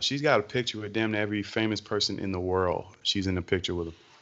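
A man with an American accent, fairly low in pitch, talking at a very fast pace. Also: hardly any pauses. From US South, Georgia. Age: 20s. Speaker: podcast co-host. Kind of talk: casual chat. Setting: call.

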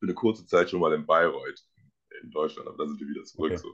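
A man speaks over a quiet background. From Germany, Dresden (Saxony). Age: 20s. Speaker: American football player. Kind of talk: casual interview.

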